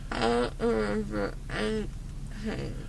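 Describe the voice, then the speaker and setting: A woman speaks at a very slow pace. Noticeable background noise runs under her voice. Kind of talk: casual groggy chat. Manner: numb-mouthed, dazed, teary-edged speech. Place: car. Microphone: phone near.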